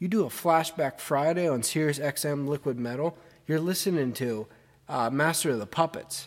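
Using a normal speaking voice, a man with a fairly high pitch keeps a moderate pace and shows ordinary pitch variation. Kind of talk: radio DJ patter between songs, opinionated rant.

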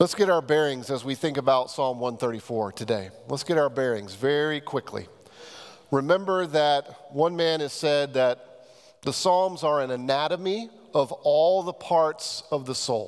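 A man's unremarkable speaking voice, fairly high and fairly slow, with ordinary pitch variation. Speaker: pastor. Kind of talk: sermon. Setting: church.

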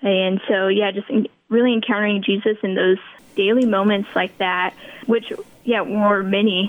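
A woman's normal speaking voice at a medium pitch and moderate pace, with an American accent. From Kansas. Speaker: missionary volunteer. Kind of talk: interview.

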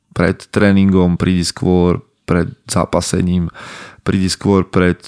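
Very deep and low, a man's voice moves at a fairly slow pace with fairly even intonation. The sound is dry and close, with no echo. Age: 30s. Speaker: podcast host and men's coach. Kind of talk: solo podcast monologue.

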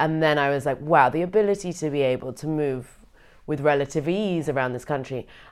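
A woman speaks with a British accent in a very deep, low voice. The recording is very clean, with a silent background. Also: ordinary pitch variation, fairly quick pace. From Britain. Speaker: comedian and scholar. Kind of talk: interview conversation.

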